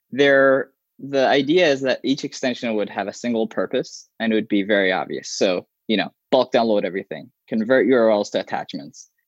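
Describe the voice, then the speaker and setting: The sound is dry and close, with no echo, against a quiet background. Pitch varies in an ordinary way, and the pace is moderate. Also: man, medium pitch for a man. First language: Arabic. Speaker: software developer. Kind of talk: interview. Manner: halting.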